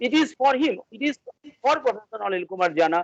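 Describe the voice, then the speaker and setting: In a dry, close sound with no echo, a man talks at a fairly quick pace with a high pitch. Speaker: academic, education researcher. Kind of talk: interview. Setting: video call. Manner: halting.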